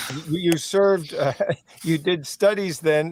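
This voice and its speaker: A man's unremarkable speaking voice with a Canadian accent, a fairly slow pace and ordinary pitch variation. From Canada. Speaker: interview host, legal advocacy. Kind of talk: interview.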